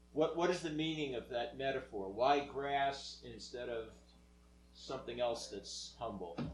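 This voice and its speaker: Amid noticeable background noise and audible room echo, a man speaks at medium pitch and a fairly slow pace with ordinary pitch variation. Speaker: moderator relaying questions. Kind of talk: Q&A session. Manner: loud.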